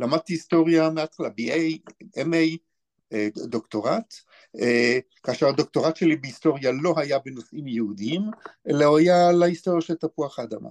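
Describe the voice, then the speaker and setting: Here a man talks at a moderate pace with long, frequent pauses. His pitch is fairly high with ordinary variation, and the sound is dry and close with no echo. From Israel, Be'er Sheva. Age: 60s. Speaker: author and historian. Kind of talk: interview.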